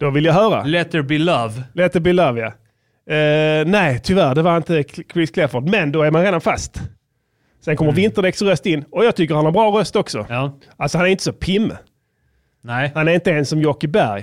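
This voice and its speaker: On a very clean recording with a silent background, a man uses an ordinary speaking voice at a fairly high pitch, with ordinary pitch variation and a moderate pace. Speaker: rapper and podcast host. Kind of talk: casual banter podcast. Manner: joking, playful.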